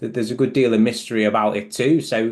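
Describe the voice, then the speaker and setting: A man with a British accent at a moderate pace. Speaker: clinical psychologist. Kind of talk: online group discussion.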